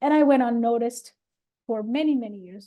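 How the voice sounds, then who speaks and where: Talking at a fairly quick pace with a non-native accent, a woman has a high pitch, a dark, mellow tone and ordinary pitch variation. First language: not English. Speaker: podcast host. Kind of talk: casual chat.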